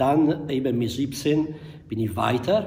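The speaker is a man with a somewhat breathy voice. He moves at a fairly slow pace. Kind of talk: interview answer. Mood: reflective, nostalgic. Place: hall. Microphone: studio mic.

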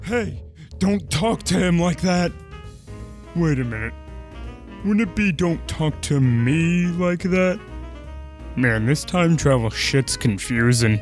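Over clear background music, a man with a medium pitch speaks at a fairly slow pace, swinging his pitch very widely and leaving long, frequent pauses. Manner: loud, goofy, indignant.

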